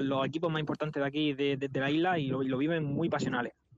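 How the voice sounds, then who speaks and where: This man has a normal speaking voice, pitched fairly high, with fairly even intonation. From Spain, Murcia. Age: 20s. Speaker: football coaching staff member. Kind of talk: interview.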